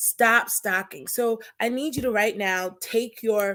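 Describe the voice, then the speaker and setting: Speaking loudly at a very slow pace, a woman uses a fairly high pitch, a bright, sharp tone and fairly even intonation in a very clean recording with a silent background. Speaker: talk show host and stalking survivor. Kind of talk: personal testimony on live show. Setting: Facebook live stream. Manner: loud, projecting; halting with fillers.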